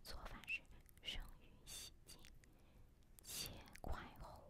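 A woman whispers her words at a very slow pace. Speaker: ASMR creator. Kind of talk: ASMR recipe reading. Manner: whispered. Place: home room. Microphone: studio mic.

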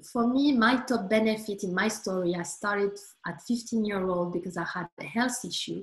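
With ordinary pitch variation, a woman speaks in a somewhat breathy voice at medium pitch. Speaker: sophrologist. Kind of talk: guided meditation. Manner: calm, soothing.

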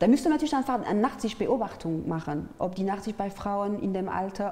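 A woman speaks at a fairly quick pace. She has a French accent. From France, Paris. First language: French (speaking German). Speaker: artist and peace activist; interview guest. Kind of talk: interview. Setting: studio. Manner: halting, with many fillers. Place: studio. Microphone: lapel.

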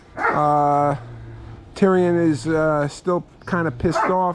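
Noticeable background noise runs through the clip. A man speaks at a very slow pace. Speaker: homeowner vlogger. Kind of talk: casual vlog chat. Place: garden. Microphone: phone near.

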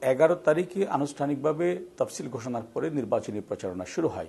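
Lively intonation marks this man's dark, mellow tone, which carries vocal fry. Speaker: ruling party publicity official. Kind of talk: televised political debate.

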